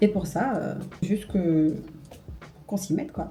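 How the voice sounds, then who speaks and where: This woman talks fairly slowly, her pitch sitting in the medium range. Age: 20s. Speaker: beauty and lifestyle vlogger. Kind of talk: casual vlog talk to camera. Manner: casual, hesitant with fillers.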